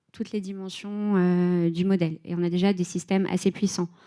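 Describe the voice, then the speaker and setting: A woman with a medium-pitched voice and a dark, mellow tone speaks with fairly even intonation in a very clean recording with a silent background. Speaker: head of data and AI at a tech company. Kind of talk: conference talk. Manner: hesitant, many filler sounds.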